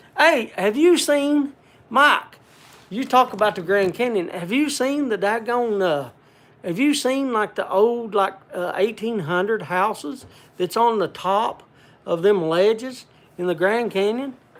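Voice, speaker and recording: With lively intonation, a man talks at a high pitch and a fairly slow pace. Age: old. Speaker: livestream host. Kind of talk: casual livestream chat reading viewer comments. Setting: home cabin livestream. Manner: halting, many restarts.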